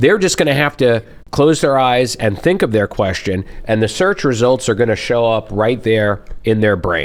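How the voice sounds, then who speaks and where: This man has a normal speaking voice, medium in pitch, with lively intonation. He talks at a moderate pace and keeps his loudness very even. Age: 50s. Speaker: lawyer. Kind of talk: casual chat. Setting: eating lunch on a show set.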